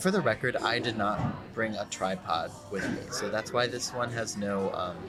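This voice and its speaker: Lively intonation marks this man's speech, heard with noticeable background noise and audible room echo. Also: medium pitch for a man, moderate pace. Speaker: podcast host. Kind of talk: casual chat. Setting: coffee shop.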